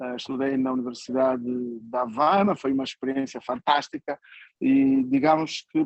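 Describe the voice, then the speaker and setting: Moderate pace and fairly even intonation from a man at a medium pitch. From Angola, Uíge province. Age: 60s. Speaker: writer and journalist. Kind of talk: conference talk. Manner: hesitant, many fillers.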